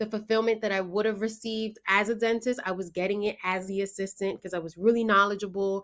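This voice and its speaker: A woman with a New York accent, enthusiastic tone, medium pitch and fairly quick pace, in a very clean recording with a silent background. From New York, the Bronx. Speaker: blogger and online business coach. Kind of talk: promotional talk to camera.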